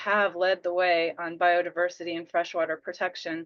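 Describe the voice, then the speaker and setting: At a fairly quick pace, a woman speaks at a medium pitch in a plain, everyday voice. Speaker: conservation program presenter. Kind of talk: webinar presentation.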